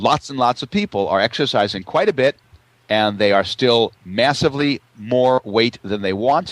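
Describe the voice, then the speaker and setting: Here is a man with a plain, everyday voice at a medium pitch, talking at a moderate pace. His intonation is lively, and the sound is dry and close with no echo. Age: 60s. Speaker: naturopath. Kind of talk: interview.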